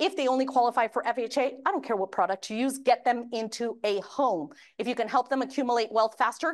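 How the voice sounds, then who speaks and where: A woman speaks at a very fast pace with hardly any pauses. Her pitch is high, and the background is quiet. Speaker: mortgage industry presenter. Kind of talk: training presentation. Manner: animated.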